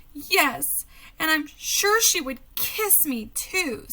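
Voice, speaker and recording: Speaking very slowly, a woman uses a put-on character voice pitched extremely high. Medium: read story.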